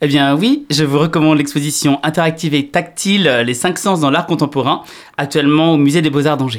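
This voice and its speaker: Recorded very cleanly against a silent background, a man with an ordinary speaking voice talks at a fairly high pitch with very even loudness. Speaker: radio host. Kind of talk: radio presentation. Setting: studio.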